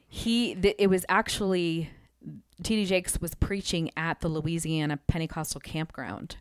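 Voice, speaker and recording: This is a woman with an unremarkable speaking voice and a fairly low pitch. She talks at a moderate pace with ordinary pitch variation. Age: 40s. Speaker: worship leader. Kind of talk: casual interview. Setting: studio.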